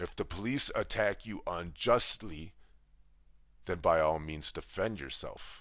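With an American accent, a man speaks in an animated tone at a fairly slow pace on a very clean recording with a silent background. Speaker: podcast host. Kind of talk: opinion monologue.

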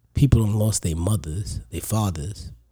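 A man with a New York accent speaks at a fairly slow pace in a fairly low pitch. His tone is dark and mellow, and somewhat breathy. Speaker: comedian. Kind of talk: casual chat.

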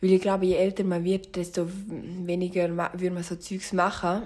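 At a moderate pace, a woman speaks with a medium pitch and a dark, mellow tone. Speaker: solo podcaster. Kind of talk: casual monologue.

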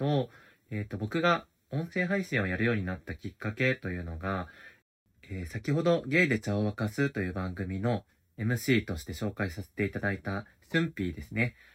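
Very wide pitch swings mark a man's fairly low voice in a very clean recording with a silent background. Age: 30s. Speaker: podcast host. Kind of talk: casual solo diary talk. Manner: halting, many fillers.

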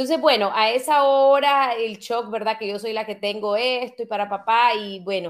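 With hardly any pauses, a woman speaks in a plain, everyday voice at a fairly high pitch with ordinary pitch variation, in a very clean recording with a silent background. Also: moderate pace. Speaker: author and podcaster. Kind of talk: interview.

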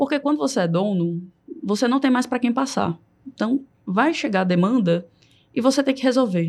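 A woman with a high voice and lively intonation speaks with long, frequent pauses. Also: moderate pace. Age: 30s. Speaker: supermarket marketing director. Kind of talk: podcast interview.

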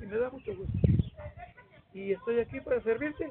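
A man's high voice at a moderate pace, with noticeable background noise. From Mexico, Mexquitic, San Luis Potosí. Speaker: retired social studies teacher. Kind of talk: interview, storytelling. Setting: at his home. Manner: halting, many repetitions.

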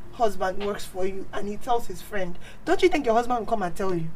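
Noticeable background noise runs under a woman's voice. She talks at a moderate pace with very wide pitch swings. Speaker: guest. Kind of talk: casual chat.

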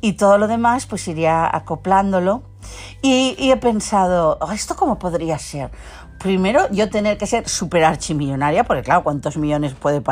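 A woman's medium-pitched voice moves through very wide pitch swings. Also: moderate pace. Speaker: podcaster. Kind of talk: casual solo monologue.

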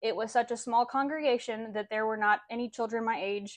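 A plain, everyday voice moves at a fairly quick pace with fairly even intonation. The background is quiet. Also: woman. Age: 20s. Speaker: abuse survivor. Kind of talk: personal testimony.

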